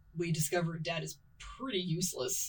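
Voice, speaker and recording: The speaker's voice is somewhat breathy and moves at a fairly slow pace. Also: woman. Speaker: podcast co-host. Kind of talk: casual chat.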